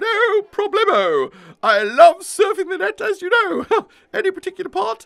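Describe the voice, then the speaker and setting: A cartoonish character voice speaks at an extremely high pitch and a moderate pace. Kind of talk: comic character dialogue. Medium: puppet show. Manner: chatty, eager to help. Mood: chatty, excitable.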